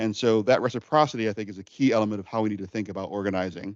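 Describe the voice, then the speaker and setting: The speaker goes at a very fast pace. The background is quiet and the sound is dry and close, with no echo. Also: man. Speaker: guest lecturer on food justice. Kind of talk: lecture.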